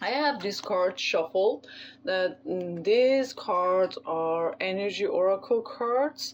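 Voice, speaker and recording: A woman talks very slowly, her intonation lively and full of movement. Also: medium pitch for a woman. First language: not English. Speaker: tarot reader. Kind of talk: tarot reading. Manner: halting, many fillers.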